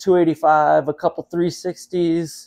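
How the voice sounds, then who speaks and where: This voice is a man's. It sits at a fairly high pitch. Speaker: auction presenter. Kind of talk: walkthrough sales pitch, touring lots and promoting the auction. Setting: on-site video tour at the distillery, outdoors and indoors. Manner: upbeat, brisk, enthusiastic salesman patter. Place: factory. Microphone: phone near.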